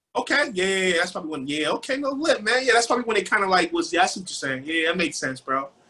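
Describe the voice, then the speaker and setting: A man speaks very fast in a raised, projected, high-pitched voice with very wide pitch swings. His tone is animated and energetic, and there's noticeable background noise. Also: hardly any pauses. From Nigeria. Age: 30s. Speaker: rapper and music publisher. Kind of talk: casual interview. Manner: animated, energetic.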